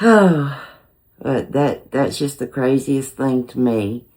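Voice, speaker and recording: Very slow and very deep, a woman's dark, mellow voice carries a Southern US accent. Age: 60s. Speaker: cooking channel host. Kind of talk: casual chat. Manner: hesitant, many filler words.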